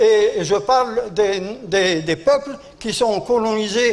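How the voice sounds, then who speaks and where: A man's high-pitched voice with lively intonation. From Algeria. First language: Arabic (speaking French). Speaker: war veteran. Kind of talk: conference speech. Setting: conference hall. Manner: halting.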